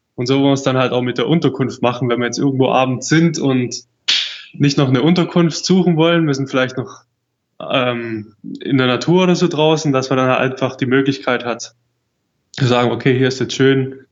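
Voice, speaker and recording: A man talks at a fairly quick pace in a normal speaking voice. His medium pitch keeps a fairly even intonation. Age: 20s. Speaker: world traveler. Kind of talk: casual interview.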